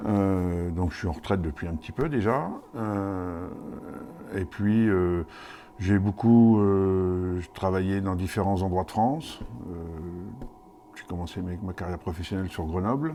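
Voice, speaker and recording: Pausing long and often, a man talks at a fairly slow pace in a very deep, low pitch with ordinary pitch variation. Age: 60s. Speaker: mayor. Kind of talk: interview. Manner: hesitant, many fillers.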